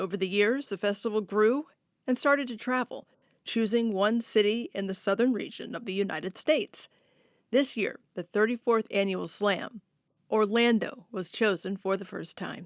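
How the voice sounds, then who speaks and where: A woman's fairly high voice, an ordinary speaking voice at a moderate pace with ordinary pitch variation, dry and close with no echo, on a very clean recording with a silent background. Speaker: radio news host. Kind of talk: radio news read.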